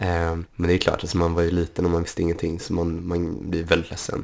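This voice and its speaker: A man with a very deep, low pitch and a very fast pace. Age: 20s. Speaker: podcast guest with type 1 diabetes. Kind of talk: casual chat.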